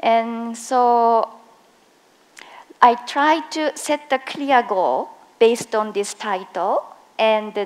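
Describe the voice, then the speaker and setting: A woman with a strong Japanese accent and ordinary pitch variation. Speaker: occupational safety and health specialist. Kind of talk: conference presentation. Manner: slow, deliberate; hesitant, many fillers.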